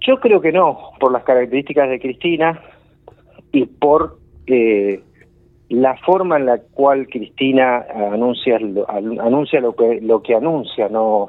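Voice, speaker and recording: A man's plain, everyday voice, medium in pitch, at a fairly slow pace with ordinary pitch variation. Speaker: political columnist. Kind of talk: radio political commentary.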